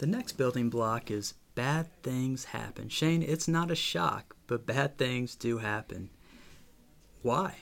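A man speaks at a medium pitch with lively intonation. His pace is very slow. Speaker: podcast host. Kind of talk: casual chat. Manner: preacher-like cadence.

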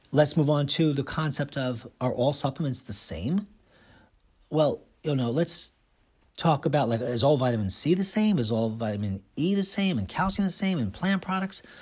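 Very wide pitch swings and an animated tone from a somewhat breathy man at a fairly high pitch, moderate in pace, on a very clean recording with a silent background. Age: 50s. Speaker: radio host and nutritionist. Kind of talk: monologue radio show.

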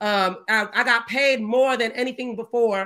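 A woman speaks with a bright, sharp tone and fairly high pitch. Her tone is animated, with ordinary pitch variation. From US South, Georgia. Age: 30s. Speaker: activist. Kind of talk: casual chat.

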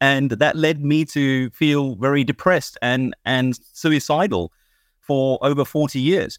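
In a British accent, this voice moves at a fairly slow pace with ordinary pitch variation, recorded very cleanly against a silent background with a dry, close sound and no echo. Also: man. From Kenya, raised in UK. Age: 50s. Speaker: entrepreneur. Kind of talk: casual chat. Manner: animated; halting.

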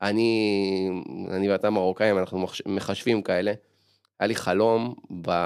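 A very clean recording, silent in the background, with fairly slow speech. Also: man. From Israel, Ramat Gan. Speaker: podcast host. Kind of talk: casual interview.

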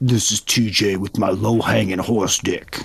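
At a fairly slow pace, a man puts on a husky character voice pitched fairly low. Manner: manly, lowered voice.

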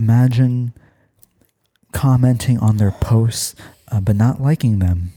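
A man's medium-pitched voice, dark and mellow, somewhat breathy, with very even loudness, a deadpan, calm delivery, a fairly slow pace and long, frequent pauses. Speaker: podcast host. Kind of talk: guided meditation parody, ASMR-style. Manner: soft-spoken, soothing, slow; deadpan, absurd calm delivery.

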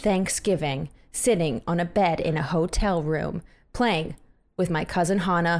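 A woman with a plain, everyday voice speaks fairly slowly, her pitch fairly low with ordinary variation. The recording is very clean, with a silent background. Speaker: podcast host. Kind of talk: casual chat. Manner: joking, playful.

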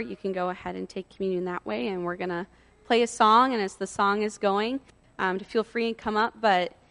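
A woman with a normal speaking voice and a medium pitch talks at a fairly quick pace with fairly even intonation, the sound dry and close with no echo. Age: 30s. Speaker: campus minister / preacher. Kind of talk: sermon.

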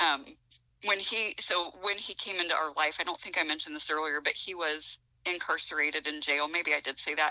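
In a Midwestern US accent, a woman with a very deep, low pitch speaks at a fairly quick pace, her bright, sharp tone paired with fairly even intonation. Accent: US Midwest. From Ohio. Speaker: author. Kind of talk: casual chat.

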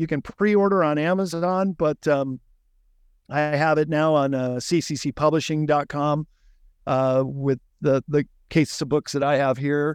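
A man with an American accent speaks at a moderate pace in a normal speaking voice. His pitch varies in an ordinary way against a quiet background. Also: dry, close sound with no echo. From Chicago, US Midwest. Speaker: author and book publisher. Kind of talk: interview conversation. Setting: warehouse, remote interview.

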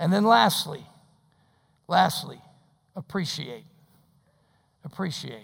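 Vocal fry runs through this voice at a moderate pace. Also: man. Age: 60s. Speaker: pastor. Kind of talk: sermon. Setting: church.

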